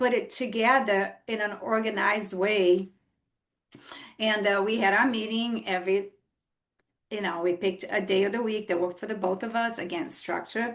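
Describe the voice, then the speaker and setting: Speaking at a moderate pace, a woman uses a fairly high pitch with a Brazilian Portuguese accent. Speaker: author. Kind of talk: podcast interview.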